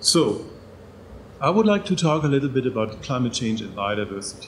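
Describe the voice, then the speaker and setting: A man with a German accent, with noticeable background noise and audible room echo. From Germany. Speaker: professor. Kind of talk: lecture. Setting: stage with audience. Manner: halting.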